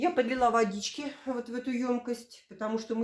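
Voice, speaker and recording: A woman with a fairly high voice sounds animated as she speaks at a moderate pace. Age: 50s. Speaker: village lifestyle vlogger. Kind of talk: product demonstration vlog.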